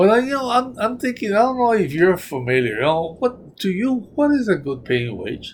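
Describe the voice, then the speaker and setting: This man's voice sits high and moves at a moderate pace. His pitch swings very widely. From New Mexico. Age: 70s. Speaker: retiree interviewee. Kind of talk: oral history interview. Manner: halting, repetitive.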